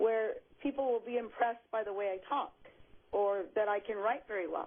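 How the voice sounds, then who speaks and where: With an American accent, a woman speaks in a normal speaking voice at a fairly high pitch, with ordinary pitch variation and a moderate pace. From Los Angeles County, California. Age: 60s. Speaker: caller. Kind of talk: phone-in call.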